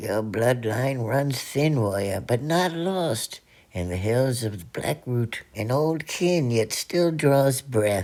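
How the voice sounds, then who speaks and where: A cartoonish character voice at a low-to-middle pitch drags along at a very slow pace. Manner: cryptic.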